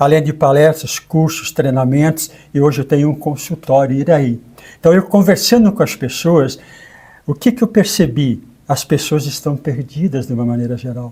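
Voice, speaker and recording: Here a man speaks at a moderate pace in a fairly high pitch. His tone is dark and mellow and somewhat breathy. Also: ordinary pitch variation. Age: 70s. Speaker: co-host and therapist. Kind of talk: conversational interview.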